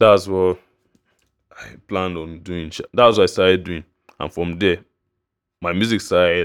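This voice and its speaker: A man with a Nigerian accent and a very deep, low pitch speaks at a moderate pace in a monotone, flat intonation, with big swings in loudness and long, frequent pauses. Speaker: music producer and podcaster. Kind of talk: casual monologue. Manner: halting.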